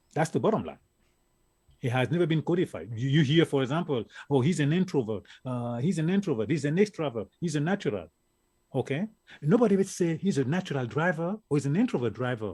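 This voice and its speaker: A man with an African accent, fairly high in pitch and somewhat breathy, with a dark, mellow tone, lively intonation and a very fast pace on a very clean recording with a silent background. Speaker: networking expert. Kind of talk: interview. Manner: animated.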